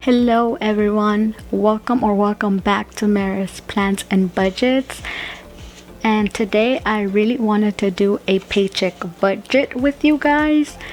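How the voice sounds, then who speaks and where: Music plays in the background as a woman speaks at a fairly slow pace. Her voice is fairly high and her loudness stays very even. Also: ordinary pitch variation. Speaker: budgeting vlogger. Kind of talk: casual budgeting tutorial. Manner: stuttering, voice cracks.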